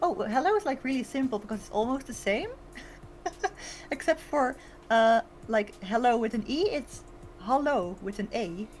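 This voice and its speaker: Delivered at a moderate pace in a Dutch accent, the speech has very wide pitch swings and big swings in loudness. Long, frequent pauses break it up. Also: woman, high pitch for a woman. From Netherlands. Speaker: VTuber streamer. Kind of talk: casual chat. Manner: hesitant, many fillers.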